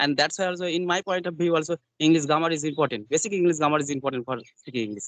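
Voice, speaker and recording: Speaking very fast with a Bengali accent, a man uses a fairly high pitch, the sound dry and close with no echo. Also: ordinary pitch variation. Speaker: English learner. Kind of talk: casual chat. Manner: halting, many fillers.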